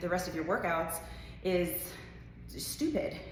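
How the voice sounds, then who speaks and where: At medium pitch, a woman speaks at a moderate pace amid noticeable background noise and audible room echo. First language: not English. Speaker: fitness coach. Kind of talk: casual talk to camera. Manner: animated.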